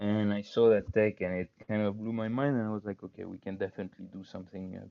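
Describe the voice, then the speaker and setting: With a non-native accent, a man speaks at a fairly quick pace in a fairly low pitch with a dark, mellow tone. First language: not English. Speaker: crypto startup cofounder. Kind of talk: interview conversation. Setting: online call. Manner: hesitant, many fillers.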